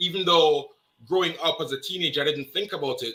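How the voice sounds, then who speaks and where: In a Jamaican accent, a man speaks at a fairly high pitch with ordinary pitch variation. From Jamaica, Kingston. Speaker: interview guest. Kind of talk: casual interview. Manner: repetitive stammering starts.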